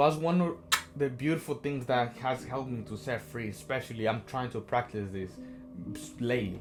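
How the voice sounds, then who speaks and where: With music in the background, a man with a non-native accent speaks at a moderate pace in an animated tone. His medium-pitched voice carries lively intonation. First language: not English. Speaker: self-help vlogger. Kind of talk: motivational talk. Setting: on a train.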